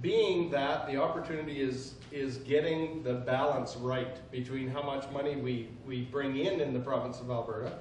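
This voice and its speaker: Amid noticeable background noise and audible room echo, a man speaks at a medium pitch and moderate pace with fairly even intonation. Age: 60s. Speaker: politician. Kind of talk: speech.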